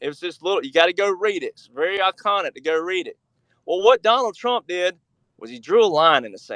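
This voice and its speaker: Speaking with an Alabama accent, a man talks at a fairly quick pace and high pitch. His intonation is lively, and the sound is dry and close with no echo. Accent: Southern US (Alabama). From US South, Alabama. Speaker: researcher and author. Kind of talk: interview. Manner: animated.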